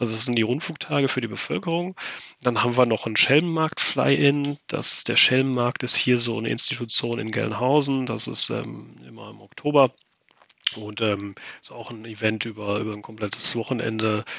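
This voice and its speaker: A man with a plain, everyday voice speaks at medium pitch and a moderate pace. His loudness swings a lot, while his pitch varies in an ordinary way. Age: 30s. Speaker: amateur pilot, flying club member. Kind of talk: podcast interview.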